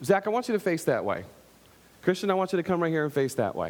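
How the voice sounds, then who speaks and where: A loud, animated man with a high pitch. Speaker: pastor. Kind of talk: sermon. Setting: church.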